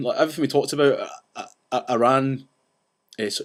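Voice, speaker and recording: A man speaks fairly quickly in a Scottish accent, his pitch varying in an ordinary way. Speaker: vlogger ranting about banks. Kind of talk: casual vlog rant. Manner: fast; animated.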